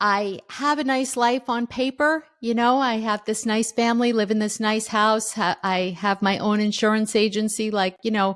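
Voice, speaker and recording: A woman with a plain, everyday voice, fairly high in pitch, at a moderate pace, with fairly even intonation, very even loudness and hardly any pauses. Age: 60s. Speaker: author. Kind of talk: interview.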